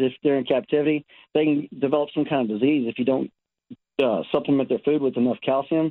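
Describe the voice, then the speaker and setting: A man with a plain, everyday voice and an American accent, fairly high in pitch, at a fairly quick pace. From Texas. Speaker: caller with pet opossum. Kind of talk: casual phone chat. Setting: phone call.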